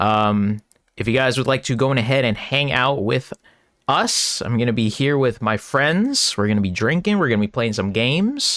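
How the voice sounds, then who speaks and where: A man with an unremarkable speaking voice holds a very even loudness, talking at a moderate pace with a medium pitch and ordinary pitch variation. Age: 20s. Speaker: streamer and sports podcast host. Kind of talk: casual stream chat. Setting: live stream.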